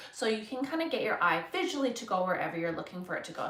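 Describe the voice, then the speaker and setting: A woman with a Canadian accent talks with lively intonation through audible room echo and noticeable background noise. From Canada. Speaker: florist, flower arranging instructor. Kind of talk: live-stream tutorial. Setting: live stream. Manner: casual, filler-heavy.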